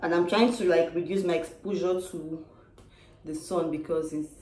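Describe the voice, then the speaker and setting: With audible room echo around her, a woman speaks fairly slowly at a fairly low pitch and with fairly even intonation. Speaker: vlogger. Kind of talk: casual vlog chat. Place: home room. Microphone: phone near.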